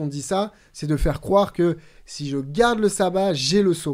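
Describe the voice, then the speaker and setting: The man's pitch varies in an ordinary way as he talks at a moderate pace against a quiet background. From New Caledonia, moved to France at 13. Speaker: podcast co-host. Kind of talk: Bible study discussion. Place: studio. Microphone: studio mic.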